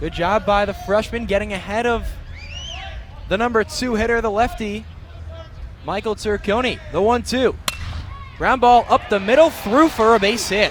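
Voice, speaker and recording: Against noticeable background noise, a man with a high-pitched voice speaks with long, frequent pauses. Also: ordinary pitch variation, moderate pace. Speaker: student sports broadcaster. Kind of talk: radio baseball play-by-play.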